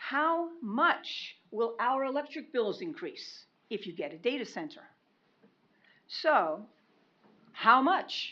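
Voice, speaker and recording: Loud and high-pitched, a woman with a bright, sharp tone speaks at a very slow pace with very wide pitch swings and long, frequent pauses. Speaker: public commenter. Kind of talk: public comment at meeting. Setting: county commission meeting.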